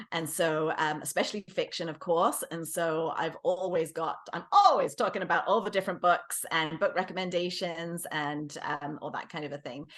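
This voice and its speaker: A woman with fairly low pitch speaks at a moderate pace and fairly even intonation, with big swings in loudness. Noticeable background noise is present. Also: hardly any pauses. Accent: English. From England. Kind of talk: interview.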